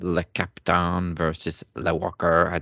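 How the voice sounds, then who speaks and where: A man's put-on character voice in a French accent, very deep and low, raspy, monotone and flat, at a fairly slow pace. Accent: French, exaggerated and put on. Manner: playful wrestling announcer.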